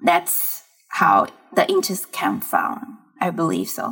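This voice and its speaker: A woman with a Chinese accent, at a fairly slow pace. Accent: Mandarin Chinese accent in English. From China, Fujian province. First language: Mandarin Chinese. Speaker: tech startup founder and CEO. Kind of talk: interview conversation. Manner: halting, searching for English words.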